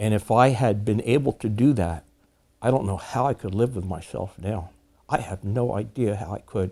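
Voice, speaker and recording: In a very clean recording with a silent background, a man with an American accent and a dark, mellow tone talks at a moderate pace with ordinary pitch variation. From southern New Jersey. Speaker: war veteran. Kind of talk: testimony. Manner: halting.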